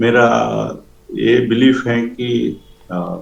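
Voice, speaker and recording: A man with a Telangana accent at a medium pitch, with audible room echo and noticeable background noise. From India, Andhra Pradesh. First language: Telugu (speaking Hindi). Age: 60s. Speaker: author. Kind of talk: interview. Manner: hesitant.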